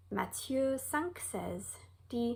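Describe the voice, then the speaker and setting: This woman has an American accent. Her pace is very slow. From United States. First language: English (speaking French). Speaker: Bible teacher. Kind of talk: Bible lesson; reading aloud.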